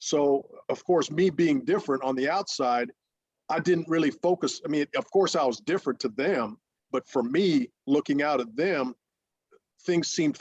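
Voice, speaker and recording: The speaker is a man who keeps a moderate pace. He varies his pitch in an ordinary way. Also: dry, close sound with no echo. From Ohio, US Midwest. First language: Russian. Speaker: former pro baseball pitcher and coach. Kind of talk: interview.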